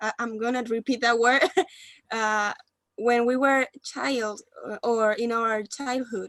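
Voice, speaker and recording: A woman with a Spanish accent speaks very slowly at a fairly high pitch, leaving long, frequent pauses, in a dry, close recording with no echo. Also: fairly even intonation. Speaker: university student. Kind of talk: group discussion.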